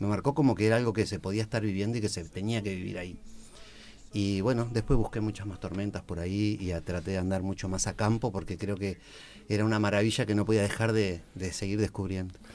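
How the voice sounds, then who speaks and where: Very fast speech from a man, his intonation fairly even. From Uruguay, Montevideo (Piedras Blancas). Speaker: recreation educator and teacher. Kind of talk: casual radio chat.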